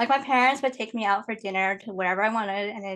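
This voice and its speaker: A woman with an American accent speaks at a very fast pace. Her pitch is fairly high, and the background is quiet. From Indiana, US Midwest. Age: 20s. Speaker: podcast guest, Chinese adoptee. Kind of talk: casual chat.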